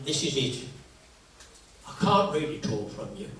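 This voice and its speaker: A man speaking at a very slow pace amid noticeable background noise and audible room echo. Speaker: local historian. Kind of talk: public talk. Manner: conversational.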